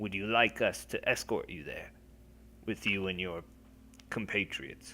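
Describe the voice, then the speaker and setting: A man uses a put-on character voice against clear background noise. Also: moderate pace. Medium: actual play. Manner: formal, deferential.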